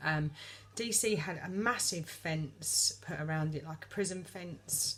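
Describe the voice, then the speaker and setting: A woman with a very deep, low pitch speaks at a fairly slow pace. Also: lively intonation. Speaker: vlogger. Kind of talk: casual monologue. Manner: hesitant, many fillers.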